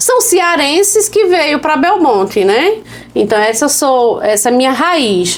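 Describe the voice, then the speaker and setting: A woman speaks very slowly at a high pitch with very wide pitch swings and very even loudness, amid audible room echo and noticeable background noise. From Pernambuco sertão, Brazilian Northeast. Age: 40s. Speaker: women's agency leader and activist. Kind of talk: interview conversation.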